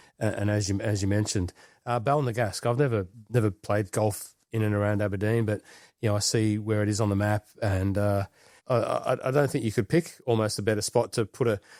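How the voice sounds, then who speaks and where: A man with an Australian accent speaks fairly quickly in a fairly low pitch, with fairly even intonation and very even loudness. The recording is very clean with a silent background and a dry, close sound with no echo. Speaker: golf podcast co-host. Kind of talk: casual chat.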